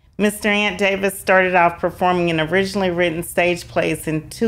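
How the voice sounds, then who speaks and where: A woman with a Southern US accent and fairly even intonation. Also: very clean recording, silent background. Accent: Southern twang. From US South. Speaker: podcast host. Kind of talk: interview; reading aloud.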